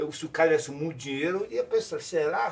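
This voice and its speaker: A man talking at a fairly quick pace. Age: 60s. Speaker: clown. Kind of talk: casual chat. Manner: halting.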